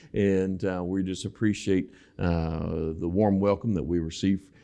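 A man with a very deep, low pitch at a fairly slow pace, over a quiet background. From Western Kentucky. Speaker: pastor. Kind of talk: sermon. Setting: church. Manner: animated.

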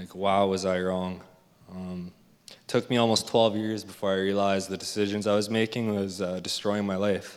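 With a Canadian accent, a man speaks at a moderate pace in a fairly low, monotone, flat voice whose loudness swings widely. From Alberta, Canada. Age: 20s. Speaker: recovering addict in rehab program. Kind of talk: testimony. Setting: church.

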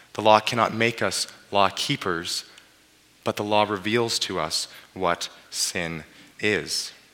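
Speaking very slowly with long, frequent pauses, a man with a Western Canadian accent uses fairly even intonation at a fairly low pitch. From British Columbia, Canada (Abbotsford). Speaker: pastor. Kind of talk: sermon. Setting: church.

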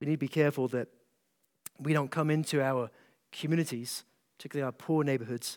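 A man's fairly high voice in a Scottish accent, fairly quick and fairly even in intonation, on a very clean recording with a silent background. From Scotland, east coast small town. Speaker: pastor. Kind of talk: conference talk to pastors. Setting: stage with audience.

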